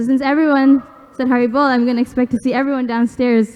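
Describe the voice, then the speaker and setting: A woman's high-pitched voice at a fairly quick pace, in a monotone, flat intonation. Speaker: retreat organizer making announcements. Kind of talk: announcements.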